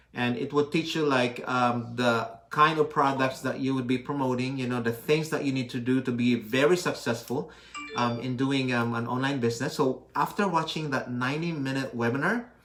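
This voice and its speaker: Over music in the background, a man talks at a moderate pace with hardly any pauses, a medium pitch and fairly even intonation. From Philippines. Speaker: physical therapist and online business owner. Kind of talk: live stream chat.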